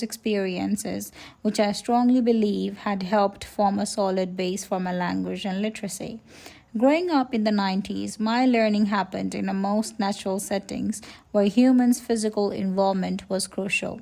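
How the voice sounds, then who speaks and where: A woman of medium pitch speaks at a moderate pace, her tone dark and mellow and her intonation fairly even. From Nepal. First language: Nepali. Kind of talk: personal reflective narration.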